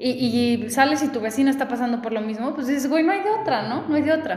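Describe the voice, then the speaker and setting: A high-pitched woman with a Mexican accent and ordinary pitch variation, amid noticeable background noise and audible room echo. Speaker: podcast host. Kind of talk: casual chat. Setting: recorded in person in a sparsely furnished house. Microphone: echo in the room.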